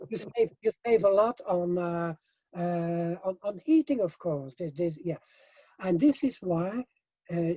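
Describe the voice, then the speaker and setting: Dark, mellow tone from a man with a high pitch and ordinary pitch variation, at a fairly slow pace, in a dry, close sound with no echo. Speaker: hempcrete building expert. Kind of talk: interview. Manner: halting, many fillers and repetitions; animated.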